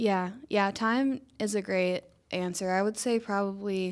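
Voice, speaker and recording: In a Georgia accent, the speaker talks at a fairly slow pace with fairly even intonation on a very clean recording with a silent background. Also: woman. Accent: US Southern (Georgia). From Northwest Georgia, near Ringgold. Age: young. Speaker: small business owner. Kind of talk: radio interview. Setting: studio.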